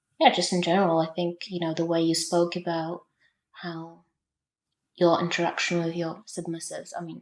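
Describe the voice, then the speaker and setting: A woman with a non-native accent talks at a fairly quick pace in monotone, flat intonation. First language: not English. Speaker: podcast listener. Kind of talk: interview conversation.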